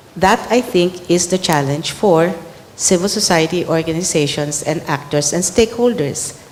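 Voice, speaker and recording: Over noticeable background noise, a woman speaks at a moderate pace in a fairly low voice with ordinary pitch variation. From Philippines. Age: 60s. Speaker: government secretary, former community organizer. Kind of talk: panel dialogue answer.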